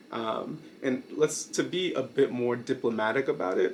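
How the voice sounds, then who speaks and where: Noticeable background noise runs under this recording. A man talks at a very slow pace. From Brooklyn, New York, US. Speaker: YouTuber, video essayist. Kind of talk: casual monologue video. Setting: night filming. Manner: hesitant, many fillers.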